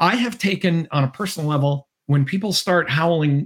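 The sound is dry and close, with no echo. A man speaks with lively intonation in a somewhat breathy voice. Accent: American. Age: 60s. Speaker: political scientist and author. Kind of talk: interview. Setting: video call.

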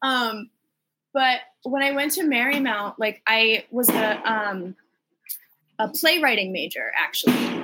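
A woman with an American accent talks in a high voice with lively intonation. Her pace is fairly slow, broken by long, frequent pauses. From Boston, Massachusetts. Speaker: musical theater graduate. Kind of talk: casual chat. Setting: video call.

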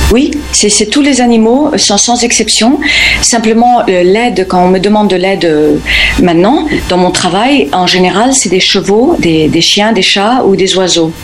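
Against noticeable background noise and audible room echo, a woman speaks with lively intonation and very even loudness. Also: medium pitch for a woman, fairly slow pace. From Spain (Formentera, Balearic Islands), born in the US. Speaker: animal communicator. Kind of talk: radio interview. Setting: remote call from the US. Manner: halting, many repetitions.

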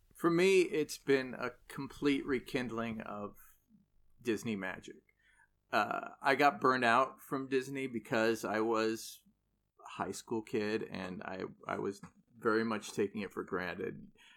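A man with an American accent, an ordinary speaking voice, medium pitch, ordinary pitch variation and a fairly slow pace, on a very clean recording with a silent background. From Southern California (Irvine). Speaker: Broadway actor. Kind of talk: casual chat.

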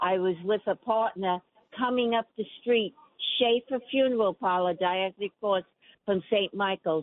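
A woman's medium-pitched voice in a New York accent, at a moderate pace, with ordinary pitch variation and very even loudness. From New York City (Queens). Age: 80s+. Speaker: caller. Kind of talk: radio call-in. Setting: phone call.

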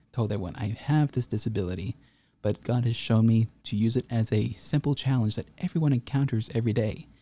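On a very clean recording with a silent background and a dry, close sound with no echo, a man with an American accent talks at a fairly quick pace, at medium pitch with ordinary pitch variation and a somewhat breathy quality. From North Texas. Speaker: linguistics graduate. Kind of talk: interview.

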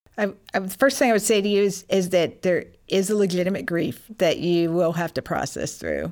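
With a plain, everyday voice, a woman speaks at a medium pitch and a fairly quick pace, with ordinary pitch variation and hardly any pauses. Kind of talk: interview testimony. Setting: studio.

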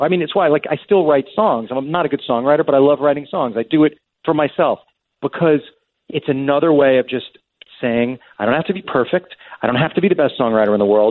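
Speaking at a very fast pace, a man uses a fairly high pitch. His pitch varies in an ordinary way. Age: 50s. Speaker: screenwriter and TV showrunner. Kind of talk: interview conversation. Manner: repeats words and restarts sentences.

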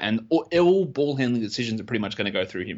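With lively intonation, a man in an Australian accent talks at a very fast pace. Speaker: fantasy basketball analyst. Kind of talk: casual interview chat.

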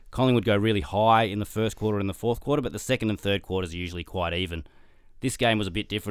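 A man with a fairly low voice talks very fast with ordinary pitch variation, recorded very cleanly against a silent background. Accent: Australian. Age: 40s. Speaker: sports statistician. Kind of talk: casual chat. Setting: studio.

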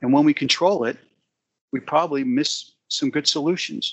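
Moving at a moderate pace, a man talks with an American accent. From US, rural Pennsylvania. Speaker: business executive and author. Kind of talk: interview.

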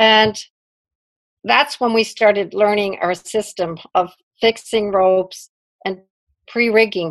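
Here a woman speaks at a very slow pace with a New York accent. Her medium pitch shows ordinary variation. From US Northeast, Brooklyn. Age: 60s. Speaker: climber. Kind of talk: interview.

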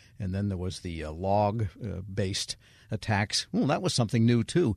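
Talking at a fairly quick pace in an ordinary speaking voice, a man with a fairly low pitch and ordinary pitch variation is heard in a dry, close sound with no echo against a quiet background. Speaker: radio host. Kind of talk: interview.

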